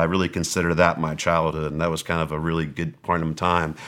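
In an American accent, a man speaks with a very deep, low pitch and a bright, sharp tone. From Southern California. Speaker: wealth strategist. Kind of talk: interview. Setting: studio.

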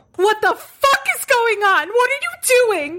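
A shrill, squeaky put-on character voice shouts at an extremely high pitch. The delivery is fairly slow. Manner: frustrated, yelling.

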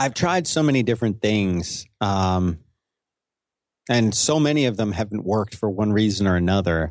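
A man's fairly low voice with an American accent at a moderate pace, very even in loudness, over a quiet background. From US Northeast. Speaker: podcaster and broadcaster. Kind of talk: interview. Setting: remote call.

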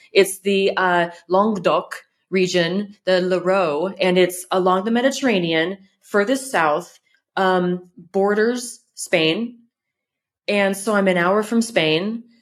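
Speaking very slowly with a Californian accent, a woman keeps her loudness very even while her pitch varies in an ordinary way. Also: medium pitch for a woman. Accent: Californian American. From California, US. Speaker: content creator and home restorer. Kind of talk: interview.

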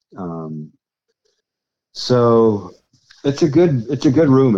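A man with an American accent and a dark, mellow tone uses lively intonation. He moves at a very slow pace, leaving long, frequent pauses. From US West Coast, Ventura, California. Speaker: guitarist and songwriter. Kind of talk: casual chat.

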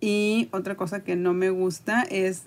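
Speaking at a fairly slow pace, a woman has an unremarkable speaking voice with a medium pitch and ordinary pitch variation. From Mexico, Tampico, Tamaulipas. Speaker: art educator. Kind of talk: casual interview.

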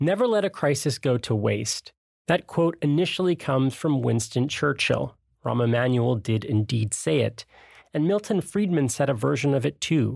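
A man with a plain, everyday voice speaks at medium pitch and a moderate pace, with lively intonation, very even loudness, and a very clean recording over a silent background. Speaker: podcast host. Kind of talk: scripted narration.

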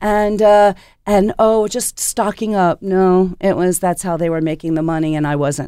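A woman's unremarkable speaking voice, medium in pitch with ordinary pitch variation, in an American accent at a moderate pace, on a very clean recording with a silent background. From US Northeast, Philadelphia. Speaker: chef and restaurant owner. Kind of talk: interview. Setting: studio.

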